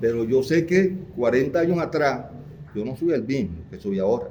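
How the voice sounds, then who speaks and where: A man talks at a moderate pace with lively intonation. Audible room echo surrounds his voice. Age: 60s. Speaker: audience member, former union activist. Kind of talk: audience comment in seminar Q&A.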